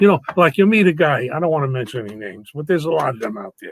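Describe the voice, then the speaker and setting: In a New York accent, a man with a fairly high pitch races along at a very fast pace, his pitch swinging very widely, in a dry, close sound with no echo. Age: 80s+. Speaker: actor and entertainer. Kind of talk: casual interview chat. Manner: animated.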